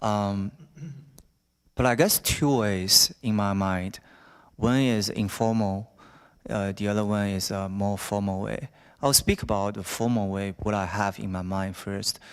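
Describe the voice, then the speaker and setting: Speech in a Chinese accent moves at a fairly slow pace with long, frequent pauses and fairly even intonation, recorded very cleanly against a silent background. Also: man, fairly low pitch for a man. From China. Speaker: alumnus speaker, business student. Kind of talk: Q&A discussion at a talk. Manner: halting, many fillers.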